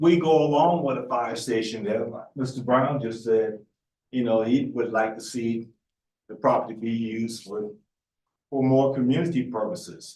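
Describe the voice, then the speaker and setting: A man with a Lowcountry South Carolina accent, ordinary pitch variation, and a dark, mellow tone. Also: medium pitch for a man, moderate pace. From Charleston area, South Carolina. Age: 70s. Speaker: resident speaking at public hearing. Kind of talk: public comment at meeting.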